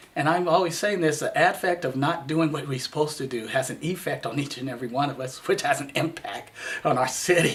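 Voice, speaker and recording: Noticeable background noise sits behind a man who talks fairly quickly at a fairly high pitch with ordinary pitch variation. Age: 60s. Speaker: city council candidate. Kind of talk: campaign interview.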